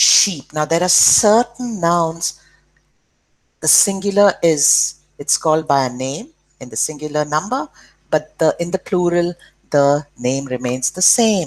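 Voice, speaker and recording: This woman has a fairly low pitch and an Indian accent. She talks at a fairly slow pace with long, frequent pauses. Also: lively intonation. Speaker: school teacher. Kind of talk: lesson for children.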